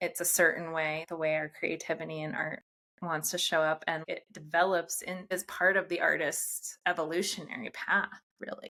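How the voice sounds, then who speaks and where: A woman in an American accent speaks with fairly low pitch, a bright, sharp tone and monotone, flat intonation. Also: moderate pace. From US. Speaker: podcast host. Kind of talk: interview.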